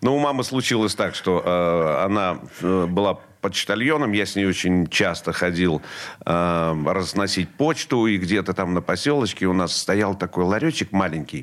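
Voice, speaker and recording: On a very clean recording with a silent background, a man speaks at a fairly slow pace in a very deep, low voice with lively intonation. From central Russia, Vladimir region. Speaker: rock musician and radio host. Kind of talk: interview.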